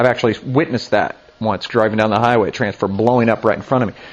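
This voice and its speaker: Noticeable background noise sits behind a man speaking in an animated tone. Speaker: pastor. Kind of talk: sermon.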